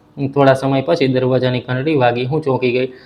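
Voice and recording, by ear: Someone reads the text aloud in a natural voice.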